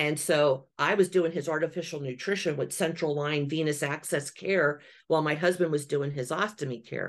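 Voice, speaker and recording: This woman's voice is very deep and low, with fairly even intonation. She keeps a moderate pace with hardly any pauses. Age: 50s. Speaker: travel agency owner. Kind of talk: casual interview.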